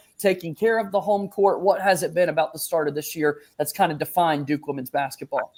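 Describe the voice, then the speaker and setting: A man talks at a very fast pace in a high pitch with ordinary pitch variation. He leaves hardly any pauses. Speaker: sports podcast host. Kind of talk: podcast interview host.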